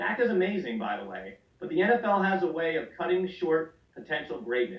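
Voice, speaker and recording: This man's voice sits high. He talks at a moderate speed. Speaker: fantasy football podcast host. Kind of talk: reading aloud; casual podcast banter. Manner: animated.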